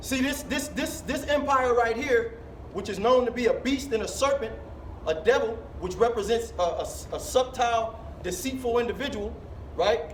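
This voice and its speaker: A man speaks at a moderate pace. The room echoes audibly and there is noticeable background noise. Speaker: street preacher. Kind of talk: street preaching. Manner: loud, yelling.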